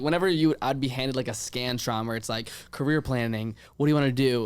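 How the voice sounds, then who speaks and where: A man with an American accent and an unremarkable speaking voice, fairly high in pitch, at a fairly quick pace with ordinary pitch variation. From Virginia, US. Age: 20s. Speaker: podcast host and events producer. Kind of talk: casual interview. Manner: fast, filler-heavy ('like').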